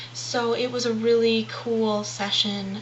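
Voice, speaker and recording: A soft-spoken voice goes at a fairly slow pace. Audible room echo and noticeable background noise come through on the recording. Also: woman. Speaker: video blogger. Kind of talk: casual video diary. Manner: hesitant with many fillers.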